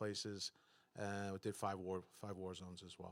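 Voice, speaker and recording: A man with a slight Boston accent speaks at a fairly low pitch. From Boston area, US. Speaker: former intelligence officer. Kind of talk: panel discussion.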